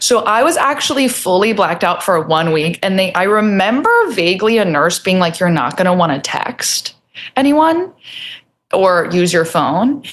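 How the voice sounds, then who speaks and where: A woman with an American accent, her pitch medium, loudness very even and pitch swings very wide. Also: moderate pace. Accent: New Jersey, comes out at times. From New Jersey. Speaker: comedian. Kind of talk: casual chat. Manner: animated.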